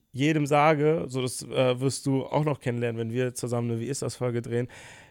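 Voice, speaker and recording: A man's medium-pitched, ordinary speaking voice with fairly even intonation, on a very clean recording over a silent background. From Germany, Bonn (Rhineland). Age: 20s. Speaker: YouTuber. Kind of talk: casual interview.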